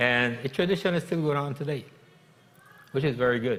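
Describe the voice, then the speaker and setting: With a Virgin Islands accent, a man talks at a moderate pace with ordinary pitch variation. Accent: Crucian Virgin Islands Creole-tinged English. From US Virgin Islands, St. Croix (Gallows Bay). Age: 70s. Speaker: commercial fisherman. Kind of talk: interview.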